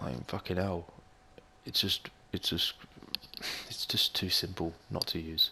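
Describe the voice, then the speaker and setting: Speaking quietly with an Australian accent, a man with a very deep, low pitch and a bright, sharp tone shows vocal fry and ordinary pitch variation. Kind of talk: gaming commentary. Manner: casual, swearing; quiet, low volume.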